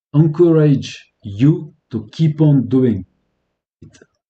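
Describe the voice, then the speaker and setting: A man talks with a French accent and a dark, mellow tone. His pitch varies in an ordinary way. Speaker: electronics repair youtuber. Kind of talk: live stream tutorial. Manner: halting.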